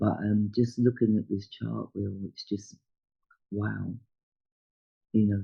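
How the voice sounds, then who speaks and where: A man speaks at a fairly slow pace. His voice is fairly low and somewhat breathy. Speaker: astrologer. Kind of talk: astrology chart talk. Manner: hesitant, many fillers.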